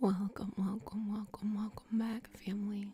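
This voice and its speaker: Soft-spoken and somewhat breathy, a woman talks at a medium pitch with a dark, mellow tone. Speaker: Reiki master teacher. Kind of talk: guided energy healing session.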